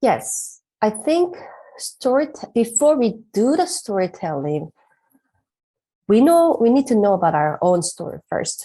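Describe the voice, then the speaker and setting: A woman with a fairly high pitch and a dark, mellow tone swings her pitch very widely, pausing often and at length. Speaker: pastor. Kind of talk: interview. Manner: halting, with fillers.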